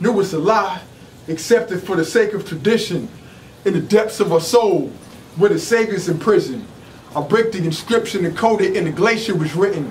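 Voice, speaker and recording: Over light background noise, a man speaks in an intense tone at a high pitch, with ordinary pitch variation. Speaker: spoken word artist. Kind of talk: rapid-fire rhymed conscious spoken word performance. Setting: live venue. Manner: rhythmic, punchy rhyming delivery with ad-libbed hums and laughs; intense, preacher-like declamation. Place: shop.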